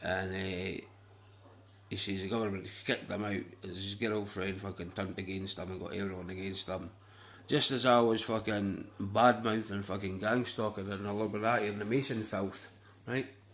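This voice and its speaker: A man speaks at a moderate pace in a fairly low voice, his intonation monotone and flat. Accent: Scottish. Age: 30s. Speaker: vlogger. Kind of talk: casual monologue. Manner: rambling, repetitive.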